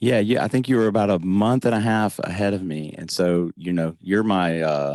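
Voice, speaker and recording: A man speaks in a Southern US accent. His pitch varies in an ordinary way. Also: fairly low pitch for a man, moderate pace. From US South. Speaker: podcast host. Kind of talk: interview. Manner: calm, humorous.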